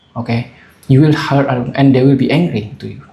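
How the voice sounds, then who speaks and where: The man speaks at a fairly high pitch, somewhat breathy. His intonation is fairly even. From Asia. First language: not English. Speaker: vlogger. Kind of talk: casual monologue. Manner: halting, many fillers.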